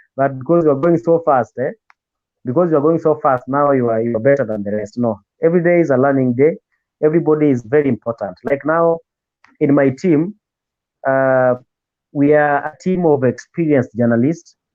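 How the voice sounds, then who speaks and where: A man with a Kenyan accent at a fairly high pitch and fairly quick pace, ordinary pitch variation and long, frequent pauses, with music in the background. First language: Luo. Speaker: radio presenter. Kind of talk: interview.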